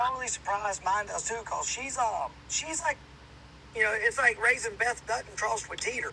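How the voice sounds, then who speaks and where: Over noticeable background noise, a man with a slight Southern US accent talks fairly quickly in an extremely high voice with ordinary pitch variation. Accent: slight Southern country. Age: 30s. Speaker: hunter and outdoors podcaster. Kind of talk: casual chat.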